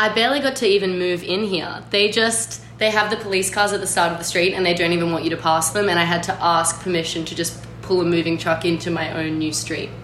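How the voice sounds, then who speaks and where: A woman with an Australian accent speaks at a very fast pace with hardly any pauses and a fairly low pitch, with noticeable background noise and audible room echo. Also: ordinary pitch variation. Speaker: writer and art critic. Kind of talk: casual chat. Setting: video call.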